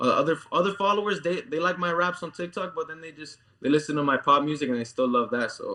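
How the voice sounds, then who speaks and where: Talking at a very fast pace with hardly any pauses, a man with a Cuban accent uses a fairly high pitch, ordinary pitch variation, a bright, sharp tone, and big swings in loudness. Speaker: musician. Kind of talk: interview. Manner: casual, many fillers.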